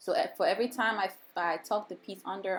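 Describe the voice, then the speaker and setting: A woman with a Nigerian accent and ordinary pitch variation. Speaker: hair braider. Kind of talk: tutorial. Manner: casual, chatty.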